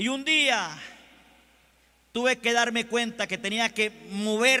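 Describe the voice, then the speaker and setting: Bright and sharp in tone, the voice comes out raised and projected. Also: man. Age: 60s. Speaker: pastor. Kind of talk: sermon. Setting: convention stage with audience.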